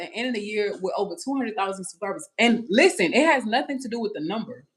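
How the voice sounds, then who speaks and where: With a Louisiana accent, a woman talks very fast in an animated tone, her fairly high voice making very wide pitch swings. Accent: Louisiana Southern US. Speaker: family vlogger. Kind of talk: livestream chat.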